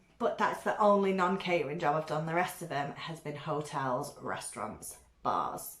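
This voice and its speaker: In a British accent, a woman talks with a fairly low pitch. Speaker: beauty vlogger. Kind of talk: casual chat. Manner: loud.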